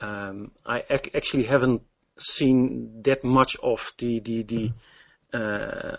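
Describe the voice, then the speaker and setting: A man of medium pitch speaks with a Dutch accent. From Netherlands. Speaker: game demonstrator and programmer. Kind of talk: interview. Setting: Skype call. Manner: halting.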